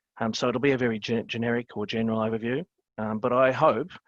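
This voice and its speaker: Someone with an Australian accent speaks at a fairly quick pace with fairly even intonation. The sound is dry and close with no echo, over a quiet background. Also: man. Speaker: webinar panelist. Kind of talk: webinar presentation. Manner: hesitant, many fillers.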